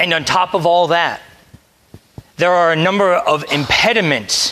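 A man with an American accent speaks in a raised, projected voice at a high pitch. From US, Delaware. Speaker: priest. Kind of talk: sermon. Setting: church.

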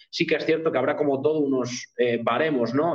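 The speech moves at a very fast pace against noticeable background noise. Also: man. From Spain, Cantabria (Pas valleys). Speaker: nutritionist. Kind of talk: interview. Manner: halting.

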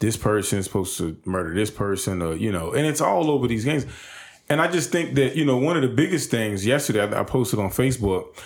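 A man's plain, everyday voice, fairly quick, with lively intonation. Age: 30s. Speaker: support services CEO. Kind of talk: casual chat.

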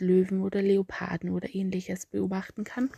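A woman with an Austrian accent speaks at a moderate pace and medium pitch, her dark, mellow tone somewhat breathy, with a dry, close sound with no echo over a quiet background. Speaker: travel podcaster. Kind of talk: storytelling monologue.

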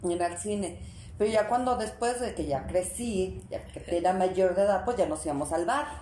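Medium-pitched female voice in a Mexican accent, ordinary pitch variation, moderate pace, audible room echo. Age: 50s. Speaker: mother of the host. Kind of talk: casual chat.

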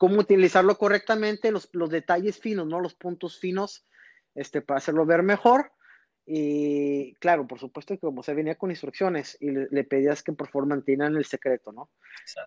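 In a quiet background with a dry, close sound and no echo, a man speaks at a fairly high pitch with ordinary pitch variation in a normal speaking voice. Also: moderate pace. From northern Mexico, Reynosa, Tamaulipas. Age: 30s. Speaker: magician, former magic shop employee. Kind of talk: casual interview.

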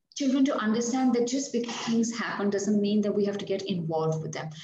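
Audible room echo surrounds a woman as she talks. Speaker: author and former news anchor. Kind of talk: interview.

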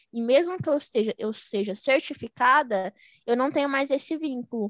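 A woman at a moderate pace, ordinary pitch variation, dry, close sound with no echo, and a quiet background. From Minas Gerais, Brazil. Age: 20s. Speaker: economist and investment mentor. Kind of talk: podcast interview.

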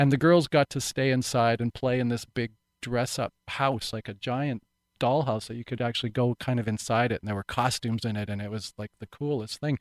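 A man's unremarkable speaking voice with a Canadian accent, medium-pitched and fairly even in intonation, at a fairly quick pace, dry and close with no echo, very clean recording against a silent background. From Vancouver Island, British Columbia, Canada. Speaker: actor. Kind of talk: interview.

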